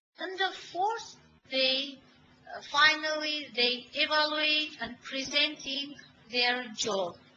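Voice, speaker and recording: Noticeable background noise surrounds a woman's raised, projected voice, which is high and has lively intonation. She speaks at a very slow pace. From Armenia. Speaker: teacher. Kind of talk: webinar presentation. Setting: online webinar. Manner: halting, many hesitations.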